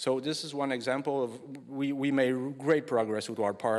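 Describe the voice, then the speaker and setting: With a French accent, a man talks at a fairly quick pace and with ordinary pitch variation on a very clean recording with a silent background. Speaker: engineering project manager presenting at a conference. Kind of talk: conference lightning talk. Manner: halting, many fillers and restarts; hurried.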